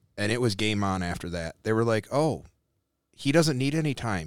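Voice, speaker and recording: On a very clean recording with a silent background, a man uses a normal speaking voice at a fairly quick pace. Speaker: political candidate, military veteran. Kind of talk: casual chat.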